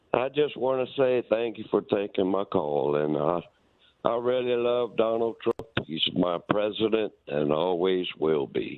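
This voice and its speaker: Fairly slow and fairly low in pitch, this man has a normal speaking voice with lively intonation and very even loudness. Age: 60s. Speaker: caller. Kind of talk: phone-in comment. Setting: phone call.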